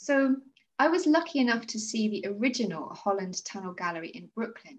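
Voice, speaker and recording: A woman at a moderate pace, with very wide pitch swings. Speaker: podcast host. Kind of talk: casual interview. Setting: video call. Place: home room. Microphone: video call.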